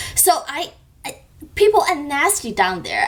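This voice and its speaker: Over noticeable background noise, a woman with a Chinese accent speaks at a high pitch that swings very widely. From China. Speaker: beauty youtuber. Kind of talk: vlog. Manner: animated.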